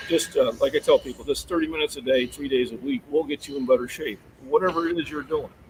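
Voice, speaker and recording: The speech comes very fast with ordinary pitch variation, over noticeable background noise. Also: man. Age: 50s. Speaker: fitness channel host. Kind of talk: live stream chat with guest. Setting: live stream video call. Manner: halting, many fillers.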